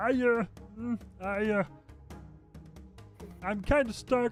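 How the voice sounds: A put-on character voice talks at a fairly slow pace in a fairly high pitch. Clear music plays in the background.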